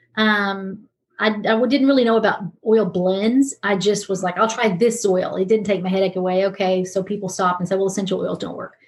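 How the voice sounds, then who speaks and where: At a fairly quick pace, a woman speaks in a somewhat breathy voice of medium pitch with fairly even intonation. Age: 50s. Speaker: pastor and talk show host. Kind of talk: casual chat.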